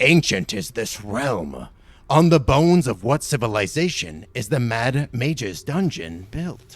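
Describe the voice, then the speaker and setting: With very wide pitch swings, a man uses a put-on character voice at medium pitch and a fairly slow pace. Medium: actual play. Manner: theatrical, smug showman.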